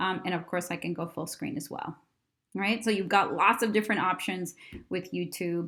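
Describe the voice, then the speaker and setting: Heard in a very clean recording with a silent background, a woman with vocal fry speaks at a medium pitch and a fairly quick pace. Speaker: educational technology company co-founder. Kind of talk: tutorial. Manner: fast; casual, animated.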